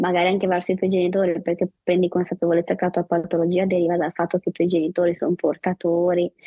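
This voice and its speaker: The speech runs at a very fast pace with hardly any pauses, very even loudness and monotone, flat intonation. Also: woman, fairly low pitch for a woman. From Liguria, Savona. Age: 30s. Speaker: sports journalist and patient advocate. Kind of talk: testimony interview.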